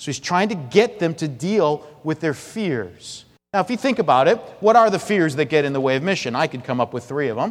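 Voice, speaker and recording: Loud and fairly quick, a man speaks at fairly high pitch with very wide pitch swings. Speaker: pastor. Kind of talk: sermon. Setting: church.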